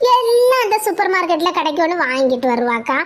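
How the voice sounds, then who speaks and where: A woman's cartoonish character voice. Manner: blunt, argumentative.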